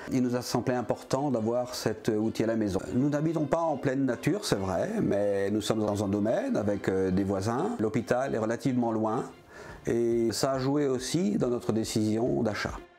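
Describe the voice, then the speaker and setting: A man speaks at a moderate pace and medium pitch, with ordinary pitch variation. His loudness stays very even over noticeable background noise. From southern France (Var). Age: 60s. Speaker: customer. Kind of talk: testimony.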